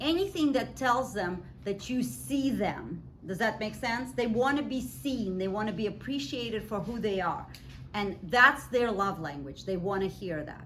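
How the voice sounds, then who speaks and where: A woman speaks with a Russian accent at a medium pitch and a moderate pace. Her intonation is lively, and room echo is audible. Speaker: professor. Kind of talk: lecture. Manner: conversational.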